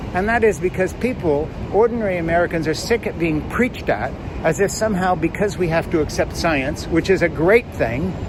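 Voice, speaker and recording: Speaking in an animated tone at a fairly quick pace, a man with a high pitch uses ordinary pitch variation over noticeable background noise. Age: 70s. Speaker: political commentator. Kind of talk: opinion monologue.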